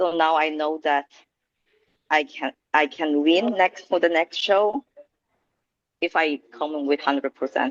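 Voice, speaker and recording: At a fairly slow pace with long, frequent pauses, a woman with a very deep, low pitch speaks in a dry, close sound with no echo. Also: ordinary pitch variation. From Norway, Stavanger area. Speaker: bikini bodybuilding competitor. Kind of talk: interview. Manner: halting.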